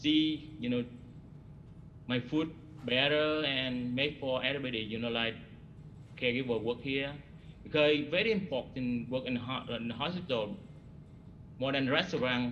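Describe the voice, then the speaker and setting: A man speaks with long, frequent pauses. Audible room echo is present. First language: not English. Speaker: hospital cook, award recipient. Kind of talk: ceremony remarks. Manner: halting.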